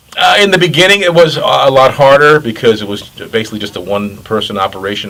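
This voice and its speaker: A man talks at a fairly quick pace with lively intonation, and there is noticeable background noise. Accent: American. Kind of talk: documentary interview. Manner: hesitant with many fillers.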